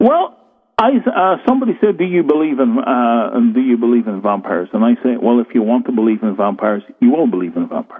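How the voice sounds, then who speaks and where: A man with a Northern Irish accent, talking at a very fast pace. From Northern Ireland, rural. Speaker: author on folklore and the supernatural. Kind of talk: interview on radio show.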